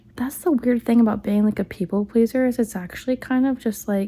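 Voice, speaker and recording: Somewhat breathy, a woman's voice has a dark, mellow tone and fairly even intonation. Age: 30s. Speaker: stay-at-home mom vlogger. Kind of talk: personal vlog monologue. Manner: halting.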